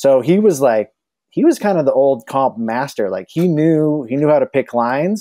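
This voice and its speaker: With an American accent, a man with a dark, mellow tone talks at a moderate pace and with lively intonation, in a dry sound with no echo and a quiet background. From Utah, Salt Lake City; Utah. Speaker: telemark skier; podcast guest. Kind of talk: casual chat. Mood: relaxed, friendly. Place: home room. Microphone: earbuds.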